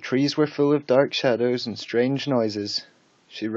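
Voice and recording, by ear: This is reading aloud. It is done in a natural voice.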